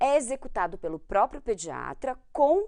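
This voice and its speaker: Speaking at a fairly slow pace, a woman with a fairly high pitch makes very wide pitch swings and shows vocal fry. The background is quiet. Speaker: medical exam prep teacher, pediatrician. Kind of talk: lecture.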